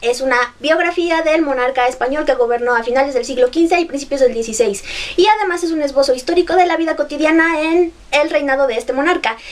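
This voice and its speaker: A woman talks at a fairly quick pace with a high pitch and an animated tone. Noticeable background noise runs underneath. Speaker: book vlogger. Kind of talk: book review vlog. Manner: fast.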